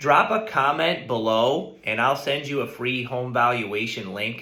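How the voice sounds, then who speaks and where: Bright and sharp in tone, a man speaks at medium pitch and a moderate pace. His intonation is fairly even, and there is audible room echo. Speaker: real estate agent. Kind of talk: market update video.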